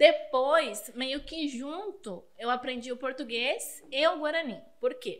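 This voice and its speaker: Speaking with a Spanish accent, a woman uses a high pitch and lively intonation at a very slow pace with hardly any pauses. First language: Spanish (speaking Portuguese). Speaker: teacher. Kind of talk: podcast interview.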